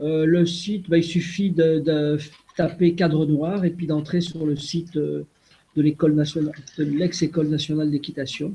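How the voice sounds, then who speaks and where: A man speaks at a moderate pace in a fairly high pitch. His tone is dark and mellow, his intonation monotone and flat. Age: 60s. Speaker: retired riding master. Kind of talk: web conference talk. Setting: video call.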